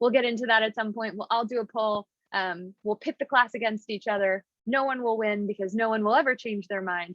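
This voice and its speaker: Very fast speech with an American accent. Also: woman. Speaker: business professor. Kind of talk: lecture. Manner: animated.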